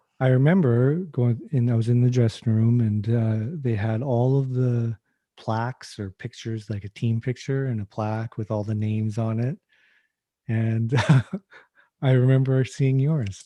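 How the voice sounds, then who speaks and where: Dry and close with no echo, a man's medium-pitched voice in a Canadian accent has a dark, mellow tone and fairly even intonation. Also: moderate pace. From western Canada (British Columbia). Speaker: podcast host, hockey goalie coach. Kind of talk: casual chat.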